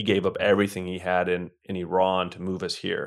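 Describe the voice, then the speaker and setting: At a fairly quick pace, a man talks in an unremarkable speaking voice pitched fairly low. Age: 30s. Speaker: real estate investor, former professional poker player. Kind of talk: interview conversation.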